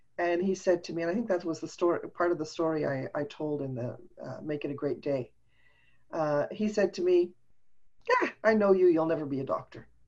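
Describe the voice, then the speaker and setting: Speaking at a fairly quick pace, a woman with a fairly low pitch and ordinary pitch variation has a plain, everyday voice. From Montreal, Canada. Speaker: business coach and speaker. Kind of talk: casual interview chat. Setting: video call.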